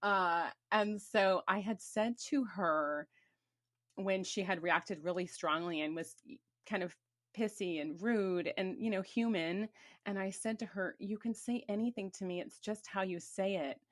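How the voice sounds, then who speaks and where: A woman has an unremarkable speaking voice, medium in pitch with ordinary variation. She speaks at a fairly slow pace in a very clean recording with a silent background. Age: 50s. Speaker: podcast host. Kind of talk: casual chat.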